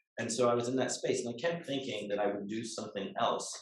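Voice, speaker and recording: The pace is very fast. Audible room echo surrounds the voice. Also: man. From England. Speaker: lawyer. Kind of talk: guest talk to students.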